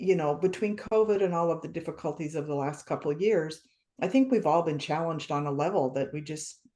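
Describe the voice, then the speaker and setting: Her voice is very deep and low, with a dark, mellow tone, ordinary pitch variation and a fairly quick pace. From small-town USA. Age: 60s. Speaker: author. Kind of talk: interview.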